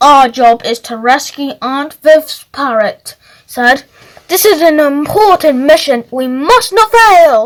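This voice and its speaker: Using a put-on character voice, a woman speaks at a fairly slow pace and a high pitch with very wide pitch swings. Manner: funny, mock-pompous.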